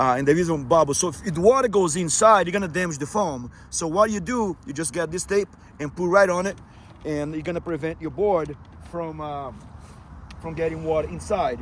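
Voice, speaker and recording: Over noticeable background noise, a man speaks at a fairly quick pace in a fairly high pitch with ordinary pitch variation. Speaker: efoil rider and video creator. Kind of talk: tutorial. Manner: fast; hesitant, many fillers.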